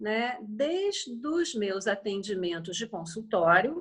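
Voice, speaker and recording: The somewhat breathy voice moves at a very slow pace through very wide pitch swings. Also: woman. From Niterói, Rio de Janeiro, Brazil. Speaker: BodyTalk and Chinese medicine therapist. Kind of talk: interview answer. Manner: measured, melodic.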